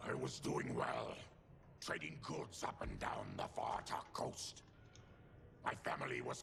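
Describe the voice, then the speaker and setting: A man uses a put-on character voice with a weary tone, speaking at a fairly slow pace with long, frequent pauses. Clear background noise is present. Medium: video game. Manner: grim, weary.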